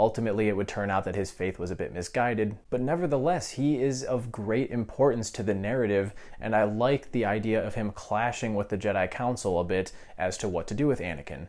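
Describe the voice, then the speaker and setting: Delivered at a fairly quick pace with ordinary pitch variation, the speech comes through on a very clean recording with a silent background. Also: man, fairly low pitch for a man. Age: 20s. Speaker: film reviewer. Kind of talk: video review monologue. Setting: at home, others sleeping. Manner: quieter than normal.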